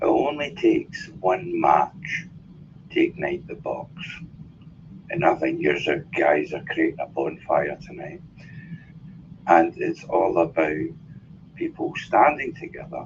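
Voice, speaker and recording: A man with a Glaswegian accent at a fairly slow pace, long pauses frequent and loudness swinging widely. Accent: Glaswegian Scottish. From Scotland, Glasgow. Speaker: life coach speaking as a guest. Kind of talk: casual talk in an online audio room.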